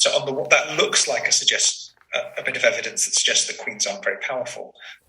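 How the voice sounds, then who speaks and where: Delivered at a very fast clip, a man's words come in a British accent. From Britain. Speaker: historian. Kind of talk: interview. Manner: halting, repeats words.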